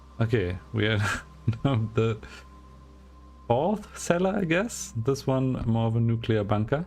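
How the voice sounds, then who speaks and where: In a German accent, a man at medium pitch speaks fairly slowly with long, frequent pauses, lively intonation and very even loudness. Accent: German accent, obvious. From Germany. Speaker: gaming streamer. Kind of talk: let's play commentary with reading aloud. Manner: casual, thinking aloud.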